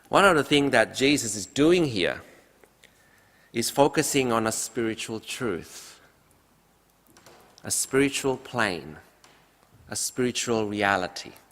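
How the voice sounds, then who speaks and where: This man speaks with lively intonation at a fairly slow pace, leaving long, frequent pauses. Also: medium pitch for a man. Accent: Indonesian. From Indonesia. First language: Indonesian. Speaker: pastor. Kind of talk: sermon. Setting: church.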